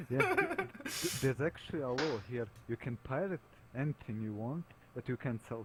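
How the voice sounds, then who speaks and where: At a moderate pace, a man speaks at a medium pitch. His pitch varies an ordinary amount, and there is noticeable background noise. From Bosnia and Herzegovina. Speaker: tabletop game player. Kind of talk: casual chat. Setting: voice chat call.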